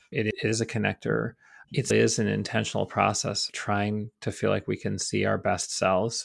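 This man speaks with an American accent. The recording is very clean, with a silent background. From upstate New York. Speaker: college president and artist. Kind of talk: interview.

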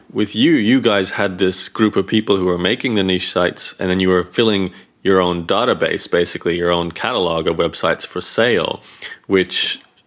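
Fairly quick in pace, a man speaks with an unremarkable speaking voice. His pitch is fairly low, with ordinary pitch variation. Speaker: podcast host. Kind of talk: interview.

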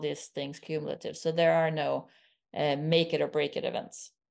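A woman is speaking. She has a Swedish accent. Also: quiet background. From rural southern Sweden. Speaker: stem cell scientist, professor. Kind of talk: interview.

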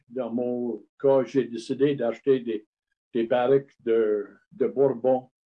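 A man with an English accent and medium pitch, speaking at a very slow pace. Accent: English-speaker accent in French. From Montreal, Quebec (Lachine), Scottish family. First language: English (speaking French). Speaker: craft distiller and former brewer. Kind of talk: interview. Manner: halting, many hesitations.

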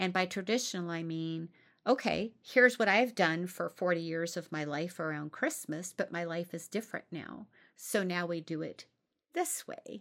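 On a very clean recording with a silent background, a woman uses a normal speaking voice, fairly low in pitch, at a moderate pace with ordinary pitch variation. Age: 50s. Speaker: podcast host. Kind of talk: casual monologue.

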